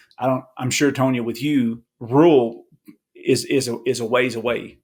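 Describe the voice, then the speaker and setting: A man with a Kentucky accent speaks at medium pitch. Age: 40s. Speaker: appraiser. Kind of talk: podcast interview. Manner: casual, repetitive restarts.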